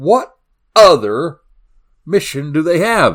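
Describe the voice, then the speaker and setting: A man talks in a Southern US accent with very wide pitch swings. The recording is very clean, with a silent background. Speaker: crime podcast host. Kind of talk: solo podcast narration. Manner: animated.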